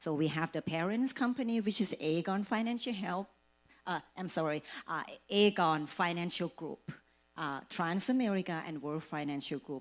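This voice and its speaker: Speaking with a slight Thai accent, a woman uses a fairly low pitch and lively intonation at a moderate pace, on a very clean recording with a silent background. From Thailand. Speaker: financial services agent. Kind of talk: presentation.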